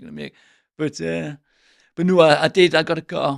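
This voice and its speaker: A man with an English accent speaks very fast in a very clean recording with a silent background. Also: dry, close sound with no echo. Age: 60s. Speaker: window sales trainer. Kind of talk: podcast interview.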